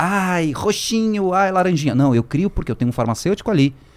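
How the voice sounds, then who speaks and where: A man talking at a very fast pace with lively intonation. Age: 40s. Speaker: marketing executive. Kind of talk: podcast interview. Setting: at home.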